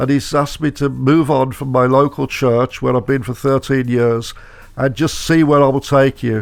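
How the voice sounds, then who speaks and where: A man speaks at a moderate pace with a Birmingham accent, his medium-pitched voice holding a fairly even intonation. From Birmingham, England. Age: 70s. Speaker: motivational speaker and author. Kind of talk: radio interview. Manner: halting, with many fillers.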